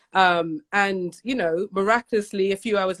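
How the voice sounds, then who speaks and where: Someone with a British accent speaks in an animated tone with ordinary pitch variation, the sound dry and close with no echo. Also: woman. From UK. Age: 40s. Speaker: podcast host guest. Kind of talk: casual livestream chat.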